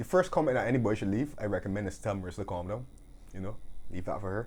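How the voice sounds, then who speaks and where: A man talks at a very fast pace. His fairly low voice is somewhat breathy. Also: ordinary pitch variation. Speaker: football podcast co-host. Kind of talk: casual chat. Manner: fast when passionate.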